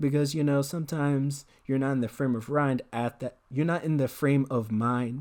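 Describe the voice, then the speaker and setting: Medium-pitched male speech at a moderate pace with fairly even intonation, very cleanly recorded over a silent background. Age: young. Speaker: YouTuber and artist. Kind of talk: casual chat while drawing. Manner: laid-back; halting.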